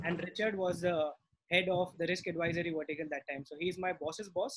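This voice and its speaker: Talking at a very fast pace, a man uses a high pitch with fairly even intonation. Noticeable background noise runs under his voice. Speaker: webinar moderator. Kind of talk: webinar introduction. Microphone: webcam.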